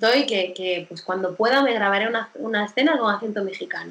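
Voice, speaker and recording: This woman talks at a moderate pace with a fairly high pitch and ordinary pitch variation. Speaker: actress. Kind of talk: interview. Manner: animated; halting.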